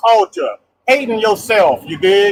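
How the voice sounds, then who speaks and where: A man's high voice at a fairly slow pace, ordinary pitch variation, and a dry, close sound with no echo. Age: 60s. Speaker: caller. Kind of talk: casual chat. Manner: halting.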